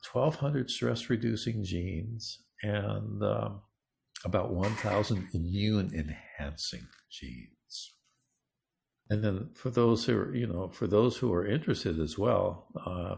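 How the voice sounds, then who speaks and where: In a very clean recording with a silent background, a man with a fairly low pitch and vocal fry speaks very slowly with lively intonation. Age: 70s. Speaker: neuroscience researcher and coach. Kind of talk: interview.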